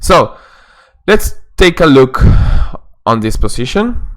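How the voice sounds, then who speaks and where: This man talks at a very slow pace with lively intonation, in a Peruvian accent. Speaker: chess coach. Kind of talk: instructional lesson narration. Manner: hesitant, with fillers.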